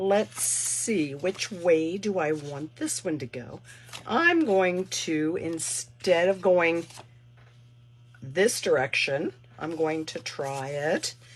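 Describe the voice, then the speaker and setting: Speaking very slowly, a woman uses fairly low pitch and ordinary pitch variation. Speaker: paper crafter. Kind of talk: online craft class tutorial. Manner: casual, chatty.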